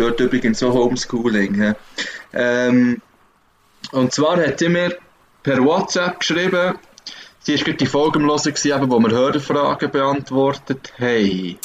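Moderate pace and ordinary pitch variation, with long, frequent pauses over noticeable background noise. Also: man. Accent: Swiss. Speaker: podcast co-host. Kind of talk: casual chat. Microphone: laptop internal microphone.

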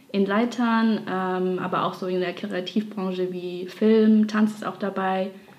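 With noticeable background noise behind her, a woman of medium pitch talks at a very slow pace in a monotone, flat intonation. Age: 20s. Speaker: dancer and graphic designer. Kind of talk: casual interview.

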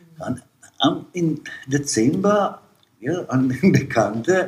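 Vocal fry paired with lively intonation. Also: man. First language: Serbo-Croatian (speaking German). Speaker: immigrant father. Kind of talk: interview storytelling. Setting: at home. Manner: halting.

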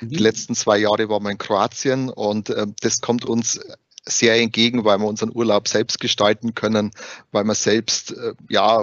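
A man talks in a Bavarian accent with a fairly low pitch. His intonation is monotone and flat. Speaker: HR recruiter at tax assistance association. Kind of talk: interview.

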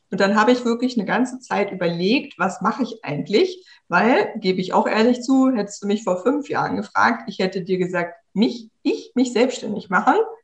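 A woman speaks at a moderate pace with hardly any pauses. Her voice is fairly high and somewhat breathy, with ordinary pitch variation. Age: 30s. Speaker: tech consultant for entrepreneurs. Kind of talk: interview. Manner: casual.

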